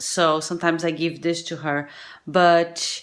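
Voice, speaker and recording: A woman with a Portuguese accent speaks at a very slow pace. Her pitch is fairly low. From Brazil. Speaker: vlogger and singer-songwriter. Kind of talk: casual vlog talk to camera. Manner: halting, searching for words.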